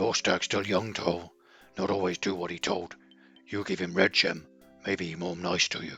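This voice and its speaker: A man uses a raspy, put-on character voice with a very deep, low pitch and monotone, flat intonation. He goes at a moderate pace with long, frequent pauses as faint music plays in the background. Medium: solo performance. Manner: broken, simple grammar.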